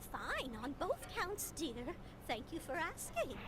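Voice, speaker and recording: An extremely high put-on character voice moves at a fairly slow pace. Loud background noise sits behind it. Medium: video game. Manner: polite, addresses others as "dear".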